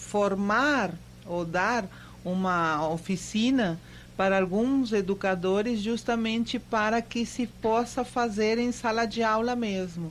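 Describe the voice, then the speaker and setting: A woman speaks at a medium pitch and a very slow pace, with a Spanish accent and ordinary pitch variation. Her loudness stays very even, and the recording is very clean with a silent background. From Argentina (Mendoza). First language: Spanish (speaking Portuguese). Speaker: university professor. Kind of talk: radio interview. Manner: halting, many fillers.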